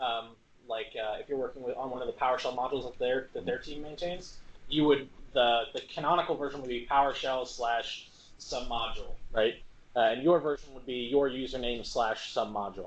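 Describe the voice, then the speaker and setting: A man speaks in a plain, everyday voice at a medium pitch and a fairly quick pace. His intonation is fairly even, though his loudness swings widely. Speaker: software trainer presenting at a user group meetup. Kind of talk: hands-on technical workshop. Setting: meetup room with live audience, streamed. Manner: casual, conversational with filler words.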